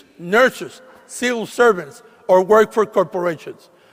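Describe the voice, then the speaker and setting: Speaking with a Puerto Rican accent, a man uses a high pitch at a moderate pace. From Puerto Rico, San Juan. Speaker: state legislator, commencement speaker. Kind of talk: commencement speech. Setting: graduation ceremony with audience.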